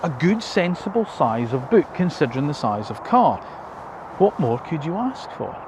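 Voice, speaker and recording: A man with a British accent, fairly high-pitched, his pitch swinging very widely, at a moderate pace, with noticeable background noise. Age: 50s. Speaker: car reviewer. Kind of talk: video review. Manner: casual, conversational.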